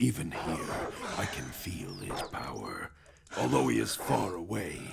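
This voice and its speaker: A man's put-on character voice, very deep and low, at a fairly slow pace over loud background noise. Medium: machinima. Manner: scornful, condescending.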